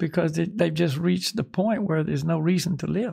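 Over a quiet background, a man with a high pitch speaks in a dark, mellow tone. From US. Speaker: spiritual teacher. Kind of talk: casual chat. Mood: calm, reflective. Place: home room. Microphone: studio mic.

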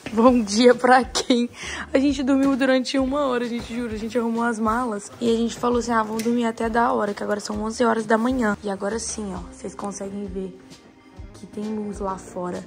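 A woman talks at a fairly quick pace, her loudness swinging widely. Faint music plays in the background. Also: fairly high pitch for a woman, fairly even intonation. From Brazil. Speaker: vlogger. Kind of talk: casual vlog talk. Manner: casual, slangy. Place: home room. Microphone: phone near.

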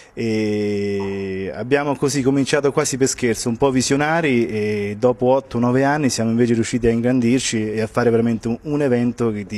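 At a moderate pace, a man talks with fairly even intonation and hardly any pauses. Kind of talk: interview answer. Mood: proud, positive. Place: hall. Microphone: handheld.

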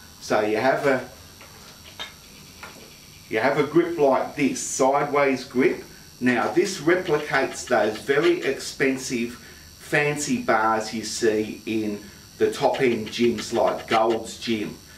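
A man speaking at a very slow pace, with long, frequent pauses, ordinary pitch variation, audible room echo and light background noise. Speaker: fitness demonstrator. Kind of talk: tutorial. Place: gym. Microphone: camera far.

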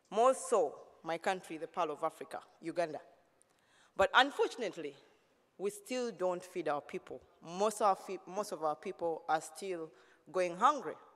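A woman's bright, sharp tone at a moderate pace, broken by long, frequent pauses. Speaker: keynote speaker. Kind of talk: keynote speech. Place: hall. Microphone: podium.

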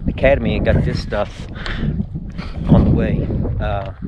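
Over loud background noise, a man speaks at a moderate pace. The sound is dry with no echo. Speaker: motorcycle traveler vlogger. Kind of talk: casual vlog chat. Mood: upbeat, laughing. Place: open country. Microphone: phone near.

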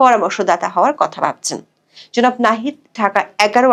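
Here is a woman with an unremarkable speaking voice, fairly high in pitch. Her intonation is lively, and the background is quiet. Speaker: news reporter. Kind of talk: scripted news report. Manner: formal.

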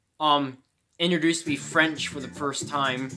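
A man at a fairly slow pace, with ordinary pitch variation and faint music in the background. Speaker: gamer. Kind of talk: casual gameplay commentary. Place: home room. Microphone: phone near.

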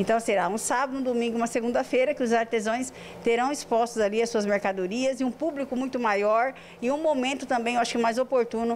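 Speaking at a very fast pace with very even loudness, a woman's high voice keeps a fairly even intonation over light background noise. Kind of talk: interview answer. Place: office. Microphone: handheld.

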